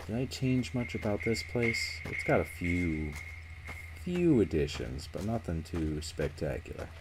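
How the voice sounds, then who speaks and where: A man's very deep, low voice at a fairly slow pace with lively intonation, over noticeable background noise. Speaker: gaming streamer. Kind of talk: live gameplay commentary. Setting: live stream. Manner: mumbling at times.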